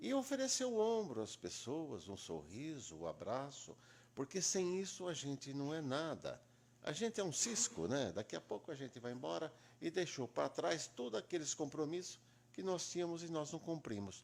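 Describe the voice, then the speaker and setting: Talking at a moderate pace, a man with a fairly high voice moves through very wide pitch swings. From Brazil, Itápolis, São Paulo state. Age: 70s. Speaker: lawyer. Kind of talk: interview.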